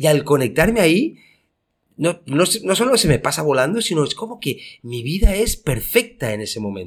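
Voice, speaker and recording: Fairly high-pitched man's voice with vocal fry, very wide pitch swings and a moderate pace. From Spain. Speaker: podcast co-host, entrepreneur. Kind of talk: casual chat.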